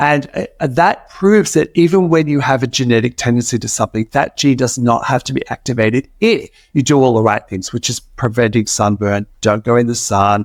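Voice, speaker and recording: In a very clean recording with a silent background and a dry, close sound with no echo, a man with an Australian accent speaks fairly quickly at a medium pitch with ordinary pitch variation. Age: 60s. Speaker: cosmetic chemist. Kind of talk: interview.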